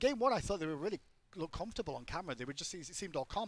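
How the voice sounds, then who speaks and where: With an English accent, a man talks very fast in a high pitch that swings very widely. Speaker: esports commentator. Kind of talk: live commentary; on-air announcement.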